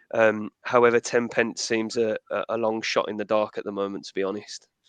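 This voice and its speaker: The speaker has a Midlands accent, and the loudness swings widely. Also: man, fairly quick pace. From English Midlands, Birmingham. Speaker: energy expert. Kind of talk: webinar panel discussion.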